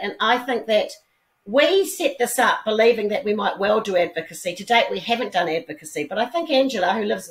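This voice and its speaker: Speaking in a New Zealand accent, a woman talks at a fairly quick pace. Her voice sits fairly high. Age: 60s. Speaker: businesswoman and philanthropist. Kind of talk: interview.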